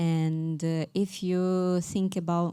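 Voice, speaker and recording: A woman's fairly low, dark, mellow voice with a Ukrainian accent, on a very clean recording with a silent background. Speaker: event moderator. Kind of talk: public talk interview.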